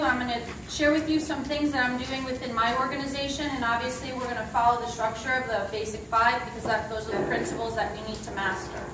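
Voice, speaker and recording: Fairly quick speech from a woman with a high voice and ordinary pitch variation. Noticeable background noise and audible room echo surround her. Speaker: network marketing distributor giving a talk. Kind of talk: motivational presentation. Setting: stage with audience. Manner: animated. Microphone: no mic, speaking unamplified.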